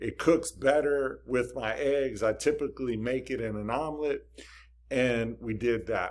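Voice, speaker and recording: A man's plain, everyday voice at a medium pitch, with ordinary pitch variation and a fairly slow pace. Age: 50s. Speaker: health and diet vlogger. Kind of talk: casual talk to camera.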